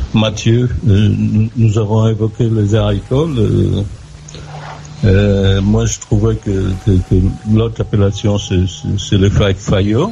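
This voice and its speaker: Noticeable background noise sits behind a man who speaks at a very slow pace with very even loudness. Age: 60s. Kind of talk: casual chat. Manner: halting.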